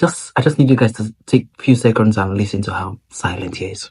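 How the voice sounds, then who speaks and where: A somewhat breathy man's voice at a fairly low pitch, with ordinary pitch variation. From Nigeria. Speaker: vlogger. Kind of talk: casual vlog talk.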